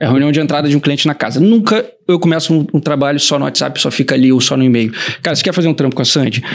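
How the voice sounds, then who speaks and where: The speech moves at a very fast pace. Loudness stays very even, with ordinary pitch variation. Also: man, fairly high pitch for a man. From Rio de Janeiro, Brazil. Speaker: designer and production company partner. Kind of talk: casual chat.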